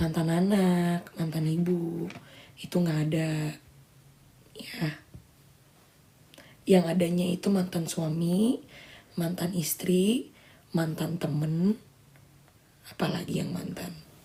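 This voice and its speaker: With long, frequent pauses, a woman speaks very slowly in a somewhat breathy, fairly low-pitched voice and fairly even intonation. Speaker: social media livestreamer. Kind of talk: casual livestream chat. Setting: live stream.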